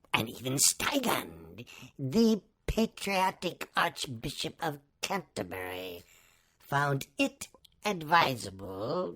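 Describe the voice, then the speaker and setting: At a very slow pace, a put-on character voice at a low-to-middle pitch makes very wide pitch swings. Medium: read story. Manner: pompous, formal.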